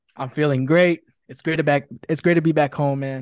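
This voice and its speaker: A man speaks at a fairly quick pace with an American accent. It is an ordinary speaking voice, fairly high in pitch, with fairly even intonation. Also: dry, close sound with no echo. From Chicago, Illinois, Mexican parents. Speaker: music producer. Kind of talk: casual chat.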